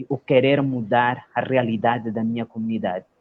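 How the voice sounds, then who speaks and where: The speaker is a man with a Mozambican accent. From Mozambique, Nampula province (north). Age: 30s. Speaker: lawyer and social entrepreneur. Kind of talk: interview, life story. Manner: halting, many fillers.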